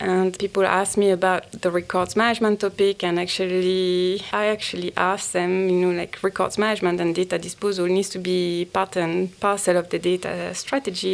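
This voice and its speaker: Speaking in a strong French accent, a woman keeps a flat, monotone intonation at a medium pitch. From France. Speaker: banking data executive. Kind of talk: interview.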